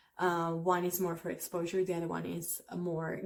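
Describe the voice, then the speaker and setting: A woman speaks with an Italian accent. Her pitch is fairly low, with vocal fry. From Italy. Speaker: language teacher. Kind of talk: tutorial. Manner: casual, with frequent fillers.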